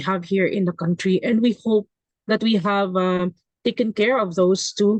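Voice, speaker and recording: A woman speaks at a medium pitch with a Visayan Filipino accent and fairly even intonation. The sound is dry and close, with no echo. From Visayas region, Philippines. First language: Kinaray-a. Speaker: education professor. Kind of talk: webinar panel discussion. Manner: halting, many fillers.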